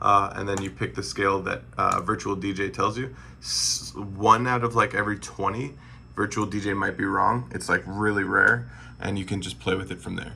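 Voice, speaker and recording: With vocal fry and very wide pitch swings, a man at a fairly low pitch talks at a moderate pace in a bright, sharp tone. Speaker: music production tutor. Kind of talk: tutorial. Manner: casual, halting with fillers.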